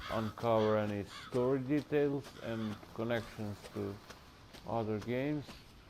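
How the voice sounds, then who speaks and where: A man speaks at a fairly slow pace with a medium pitch, fairly even intonation, and long, frequent pauses. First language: not English. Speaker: gaming youtuber. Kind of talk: gameplay commentary. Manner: halting.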